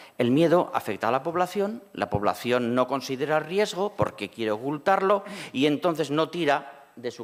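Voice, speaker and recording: Vocal fry runs through this man's fairly high voice as his pitch swings very widely. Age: 60s. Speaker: cancer survivor and patient advocate. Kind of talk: panel discussion.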